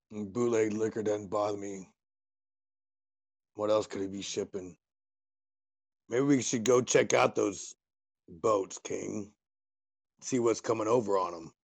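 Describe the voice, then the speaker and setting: A man does a put-on character voice, raspy and fairly low. He talks fairly slowly, with long, frequent pauses. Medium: actual play. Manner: blunt, streetwise.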